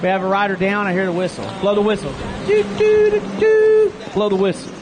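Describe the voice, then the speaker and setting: Someone talks at a fairly quick pace with a Texas accent. Crowd noise runs in the background. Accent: Texas twang. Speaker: race announcer. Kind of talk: live commentary. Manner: animated.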